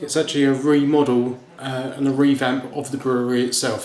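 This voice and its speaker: Over noticeable background noise, a man speaks at a moderate pace in a monotone, flat delivery. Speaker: home brewer. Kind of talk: casual talk to camera. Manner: hesitant, with fillers and some stutters.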